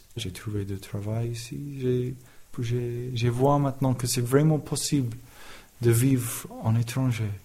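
The voice is dark, mellow and somewhat breathy, moving at a very slow pace with fairly even intonation amid audible room echo. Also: man, medium pitch for a man. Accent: English. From England. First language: English (speaking French). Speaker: carpenter. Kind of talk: testimony. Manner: halting.

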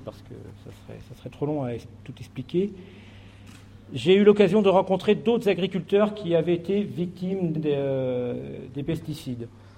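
Lively intonation marks this man's fairly high voice, which has a dark, mellow tone and a moderate pace. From France, Charente. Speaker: farmer and association founder. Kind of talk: speech to an assembly.

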